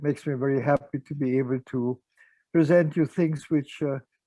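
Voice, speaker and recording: This man's voice has a dark, mellow tone and a fairly high pitch, with ordinary pitch variation. The sound is dry and close, with no echo. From Austria, Vienna. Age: 90s. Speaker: psychotherapist. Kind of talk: lecture. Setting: video call. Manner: halting.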